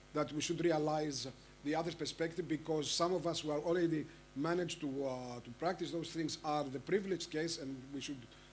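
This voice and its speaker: Audible room echo surrounds a man speaking with an Arabic accent. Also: fairly high pitch for a man, fairly even intonation, fairly quick pace. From Egypt. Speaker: panel moderator. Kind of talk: conference panel moderation. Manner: halting, many fillers.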